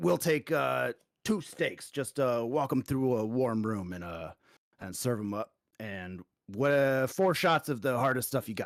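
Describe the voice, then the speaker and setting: Using a put-on, gruff character voice, a man speaks at medium pitch and a moderate pace with lively intonation, in a dry, close sound with no echo. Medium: actual play. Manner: mutters to himself, gruff.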